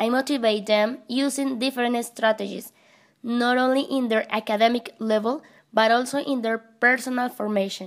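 This woman has a high pitch, a Spanish accent and fairly even intonation at a moderate pace. The recording is very clean with a silent background. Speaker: English teacher. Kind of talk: scripted narration.

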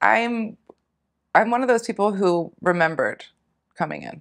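A woman with an American accent speaks at a moderate pace with lively intonation and vocal fry, the background quiet. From US Northeast, Philadelphia. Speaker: retired naturopathic physician and hypnosis practitioner; interview guest. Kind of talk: interview conversation. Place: home room.

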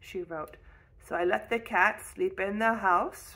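Natural reading voice throughout.

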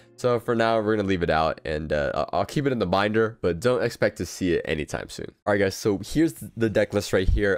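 A man talks at a fairly quick pace in a dry recording with no echo, faint music playing in the background. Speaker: card game content creator. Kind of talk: casual commentary on deck building. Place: home room. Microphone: studio mic.

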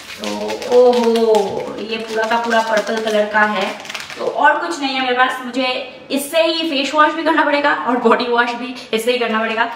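A woman speaks with a high pitch and ordinary pitch variation at a fairly slow pace. Audible room echo and light background noise are present. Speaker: vlogger. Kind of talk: casual vlog chat. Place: home room. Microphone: camera far.

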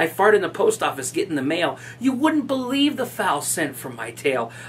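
A man at a moderate pace with very wide pitch swings. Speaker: video blogger. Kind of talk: poem reading, comic verse read aloud in a mock-serious way; casual storytelling. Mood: amused, animated. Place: office.

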